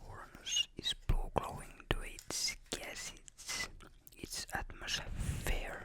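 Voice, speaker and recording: Through noticeable background noise, a speaker whispers very slowly. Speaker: ASMR creator. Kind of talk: ASMR space facts ramble. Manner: whispered.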